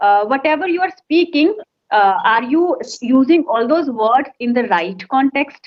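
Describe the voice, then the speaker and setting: Speaking at a moderate pace with an Indian accent, a woman uses a high pitch and very wide pitch swings. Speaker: English conversation trainer. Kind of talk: conversation practice session.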